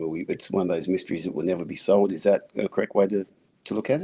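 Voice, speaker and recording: Very deep and low, a man's voice has a dark, mellow tone and an Australian accent. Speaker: podcast host. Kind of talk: casual interview talk.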